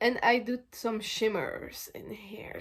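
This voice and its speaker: A woman's voice, fairly high in pitch. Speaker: makeup content creator. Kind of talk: casual beauty vlog tutorial. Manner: loud; halting, many fillers and restarts.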